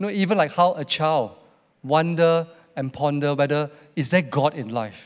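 A man talks in an ordinary speaking voice with a fairly high pitch and ordinary pitch variation. The background is quiet. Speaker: church host. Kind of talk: church service talk. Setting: church. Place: stage. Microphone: handheld.

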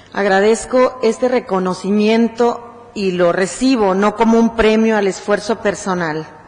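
Speaking at a fairly slow pace, a woman with fairly high pitch keeps her intonation fairly even. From Mexico. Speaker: human rights activist; guest. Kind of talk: acceptance speech. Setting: city council chamber. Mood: earnest, grateful, serious. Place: hall. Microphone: podium.

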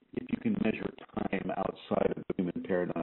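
A man speaks at a moderate pace. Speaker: spiritual teacher hosting an internet radio show. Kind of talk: spiritual teaching talk show. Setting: internet radio with call-ins.

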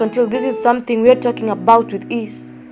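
The talking moves at a fairly quick pace, with music in the background. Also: woman. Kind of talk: spoken word poetry.

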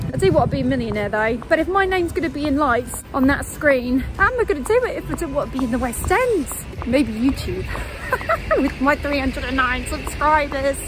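A woman talks at a fairly quick pace and high pitch, her intonation lively over noticeable background noise. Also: dry sound with no echo. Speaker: travel vlogger. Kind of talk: casual vlog chat. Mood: cheerful, laughing. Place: street.

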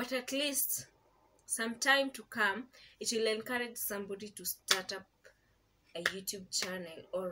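Her tone is bright and sharp as the woman speaks at a fairly slow pace. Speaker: vlogger. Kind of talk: casual vlog chat. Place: home room. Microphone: camera far.

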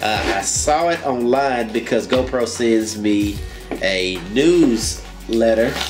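With clear music in the background, a man talks using ordinary pitch variation. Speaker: gadget reviewer. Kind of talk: unboxing commentary. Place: home room. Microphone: camera far.

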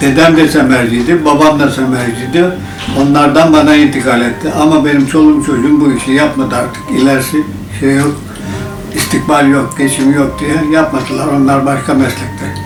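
Music plays in the background as a man with a fairly high pitch talks at a moderate pace with fairly even intonation. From Bursa, Turkey. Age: 80s+. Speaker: traditional packsaddle maker. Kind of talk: interview answer.

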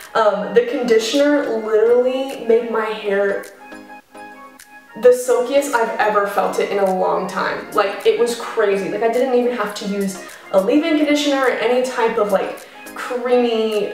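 Amid audible room echo and faint music in the background, a woman speaks at a moderate pace with ordinary pitch variation. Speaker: beauty vlogger. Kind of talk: casual vlog chat.

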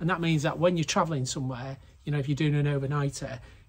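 With ordinary pitch variation, a man's voice comes across as somewhat breathy. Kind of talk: casual vlog chat. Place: garage. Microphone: phone near.

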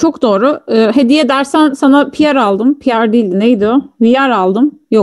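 Against a quiet background, a woman speaks in a high pitch at a fairly slow pace, with ordinary pitch variation and very even loudness. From Turkey. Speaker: streamer. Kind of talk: casual chat. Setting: live stream. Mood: relaxed, joking. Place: home room.

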